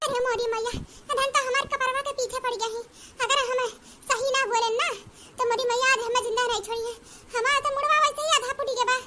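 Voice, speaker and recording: Extremely high in pitch, this cartoonish character voice runs at a fairly quick pace. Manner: theatrical, whiny.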